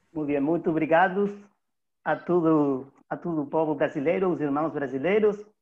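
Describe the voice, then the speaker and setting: Ordinary pitch variation and a moderate pace, in a Spanish accent. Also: man, fairly high pitch for a man. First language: Spanish (speaking Portuguese). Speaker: network organizer. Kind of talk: panel opening speech.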